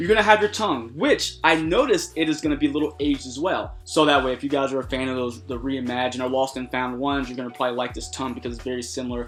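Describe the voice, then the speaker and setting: A man with a medium pitch and lively intonation speaks at a very fast pace with hardly any pauses while music plays in the background. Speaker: sneaker reviewer and podcaster. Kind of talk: product review video. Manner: animated; stuttering in places.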